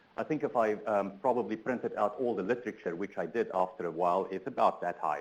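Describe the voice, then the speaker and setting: Using a South African accent, a man talks at a very fast pace with hardly any pauses. His pitch is fairly low. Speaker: transportation sustainability researcher. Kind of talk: conference keynote talk. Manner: hesitant, many fillers.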